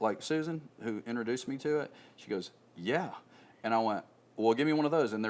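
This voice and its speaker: This man has an American accent and an unremarkable speaking voice, speaking at a moderate pace with medium pitch and ordinary pitch variation. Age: 50s. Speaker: nutrition product salesman. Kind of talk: casual interview chat.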